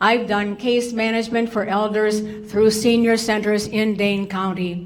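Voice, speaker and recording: A woman with an American accent speaks at a fairly high pitch with monotone, flat intonation, amid noticeable background noise and audible room echo. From Wisconsin. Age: 70s. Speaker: social worker. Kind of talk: testimony. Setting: public hearing with microphone.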